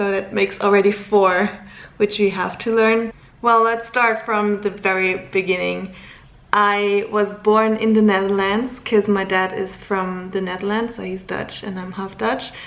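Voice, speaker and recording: A woman at a fairly slow pace, medium in pitch, with monotone, flat intonation. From Luxembourg. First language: German. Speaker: vlogger. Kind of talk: casual vlog talk to camera.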